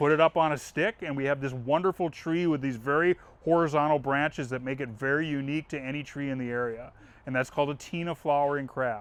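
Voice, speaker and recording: A man talks at a fairly quick pace in a fairly high pitch, his intonation fairly even. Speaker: landscape designer. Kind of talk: presentation. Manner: fast.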